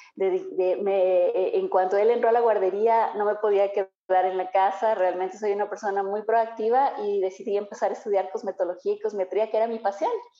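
Speaking at a moderate pace with hardly any pauses, a woman keeps a medium pitch and fairly even intonation. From Ambato, Ecuador (highlands). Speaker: entrepreneur, cosmetologist. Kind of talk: interview. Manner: halting, many fillers.

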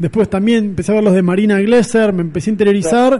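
The speaker talks with a Rioplatense accent and ordinary pitch variation. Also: man. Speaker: film critic columnist on radio. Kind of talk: radio chat. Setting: studio.

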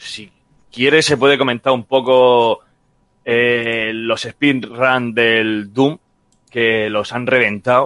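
Very slowly, a man talks in a mid-range pitch, his intonation mostly level. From Murcia, Spain. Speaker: video game podcast guest. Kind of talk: casual chat.

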